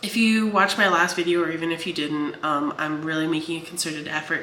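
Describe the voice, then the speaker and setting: Against noticeable background noise and audible room echo, a woman with a fairly low pitch talks at a fairly quick pace with ordinary pitch variation. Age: 30s. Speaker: writer and vlogger. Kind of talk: casual vlog talk. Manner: fast.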